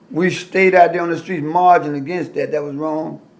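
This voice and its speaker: With ordinary pitch variation, a man talks at a moderate pace in a high voice. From US South, Alabama. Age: 60s. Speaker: pastor and civil rights activist. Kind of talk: oral history interview. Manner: animated.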